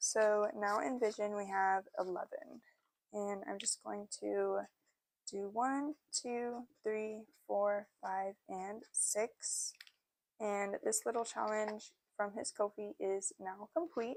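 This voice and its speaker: A woman's medium-pitched voice with ordinary pitch variation, at a very slow pace. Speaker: cash-stuffing budgeting youtuber. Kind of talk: casual tutorial while budgeting. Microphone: new external microphone being tested.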